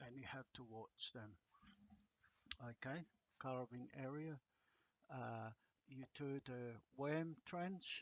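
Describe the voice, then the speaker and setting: A man speaks very slowly in a medium pitch with a strong non-native accent. Long pauses come often. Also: ordinary pitch variation. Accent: thick non-native. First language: not English. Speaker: agriculture lecturer. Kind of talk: lecture. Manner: halting, many fillers.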